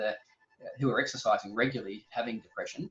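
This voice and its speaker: A man talks at a very fast pace with an Australian accent and a medium pitch. Music plays in the background. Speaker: exercise physiologist. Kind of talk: interview.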